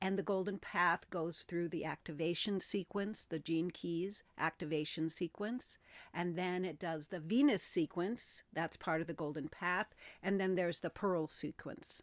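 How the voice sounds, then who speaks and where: In an ordinary speaking voice, a woman talks at a fairly slow pace with a fairly low pitch and ordinary pitch variation, captured in a very clean recording with a silent background and a dry, close sound with no echo. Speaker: spiritual content creator. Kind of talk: casual talk to camera. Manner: conversational, friendly, with filler words.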